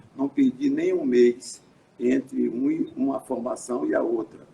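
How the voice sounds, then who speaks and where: A man speaks over noticeable background noise. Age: 80s+. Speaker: physician and researcher. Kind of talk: interview on live stream. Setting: live stream broadcast. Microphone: some echo.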